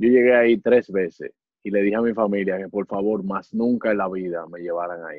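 A man's fairly low pitch, an ordinary speaking voice, with fairly even intonation and big swings in loudness. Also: fairly quick pace. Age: 20s. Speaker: comedian and impressionist. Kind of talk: casual chat.

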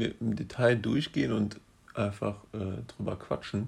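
A somewhat breathy man at a fairly low pitch and a moderate pace. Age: 20s. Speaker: management consultant and podcast co-host. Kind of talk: casual chat. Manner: hesitant, many fillers.

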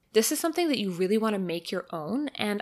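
Her pitch moves in very wide swings. The woman is captured in a very clean recording with a silent background. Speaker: career advice podcaster. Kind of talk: solo podcast monologue. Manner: fast.

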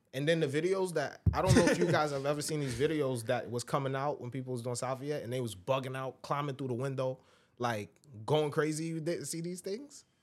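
Using an American accent, a man speaks at a fairly quick pace with a fairly high pitch and ordinary pitch variation. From Brooklyn, New York City (Brownsville). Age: 20s. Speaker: stand-up comedian and rapper. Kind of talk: casual chat. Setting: studio.

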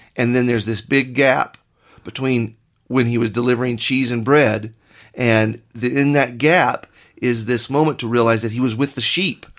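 Against a quiet background, a man with a plain, everyday voice speaks at medium pitch and a moderate pace with fairly even intonation. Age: 40s. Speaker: pastor. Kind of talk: casual chat.

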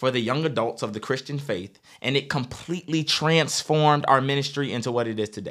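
A man with an American accent and a medium pitch speaks at a fairly quick pace in an energetic tone, on a very clean recording with a silent background. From Virginia. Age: 20s. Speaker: youth pastor and podcast host. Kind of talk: podcast hosting and interview.

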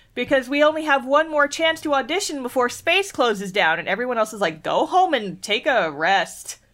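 High-pitched female voice at a moderate pace, animated, with very wide pitch swings, on a very clean recording with a silent background. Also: hardly any pauses. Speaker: podcast co-host. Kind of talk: casual chat.

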